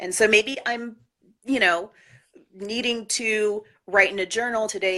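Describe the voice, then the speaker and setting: A woman's bright, sharp, energetic tone at a moderate pace, with ordinary pitch variation, on a very clean recording with a silent background. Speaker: artist and yoga student interviewed about her practice. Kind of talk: casual interview.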